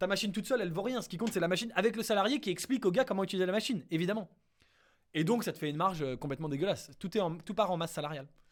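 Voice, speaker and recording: A man talks very fast at a high pitch, his intonation lively. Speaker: startup investment youtuber. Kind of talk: casual screen-share analysis. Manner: hesitant, many fillers.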